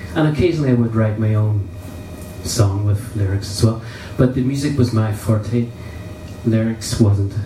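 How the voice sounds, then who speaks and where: Noticeable background noise and audible room echo around a man with a Derry accent, at a moderate pace with long, frequent pauses. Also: medium pitch for a man, ordinary pitch variation. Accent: Northern Irish (Derry). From Northern Ireland (Derry). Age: 60s. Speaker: musician. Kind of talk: interview.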